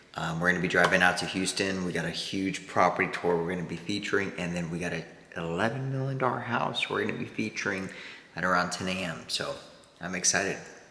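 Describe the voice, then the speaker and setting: Over noticeable background noise and audible room echo, a man speaks at a very fast pace with a very deep, low pitch and ordinary pitch variation. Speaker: real estate broker and vlogger; former Marine. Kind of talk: casual vlog chat.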